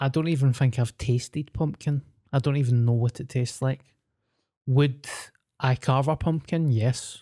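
In a Scottish accent, a man with a fairly high pitch and a dark, mellow tone speaks at a moderate pace with fairly even intonation, in a dry, close sound with no echo. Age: 30s. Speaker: podcast co-host. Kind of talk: casual chat.

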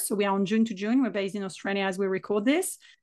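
Here a woman speaks with a French accent at a fairly high pitch, with ordinary pitch variation. The background is quiet. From south of France. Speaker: business mentor and author. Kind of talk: casual interview conversation.

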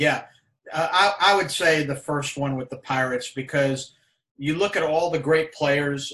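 A bright, sharp tone defines this voice. It moves along at a moderate speed. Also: man. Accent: American. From New York. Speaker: retired sports executive. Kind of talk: interview.

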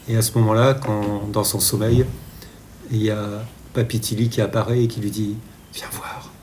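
Flat, monotone intonation at a moderate pace. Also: man. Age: 60s. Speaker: children's book author. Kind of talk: interview. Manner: halting.

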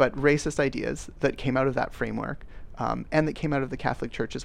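In a Canadian accent, a man speaks at a fairly quick pace. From Canada. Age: 30s. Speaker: podcast host. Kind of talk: interview.

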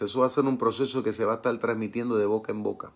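A man's voice comes through with a bright, sharp tone. His intonation stays fairly even. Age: 50s. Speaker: pastor. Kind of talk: Bible study sermon. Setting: live stream.

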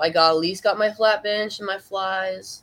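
Fairly even intonation marks this woman's plain, everyday voice. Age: 20s. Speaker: amateur bodybuilder. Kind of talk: casual interview.

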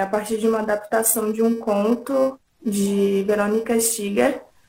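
A woman's fairly high, dark and mellow voice at a very slow pace. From interior of São Paulo state, Brazil. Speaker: filmmaker. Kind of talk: interview.

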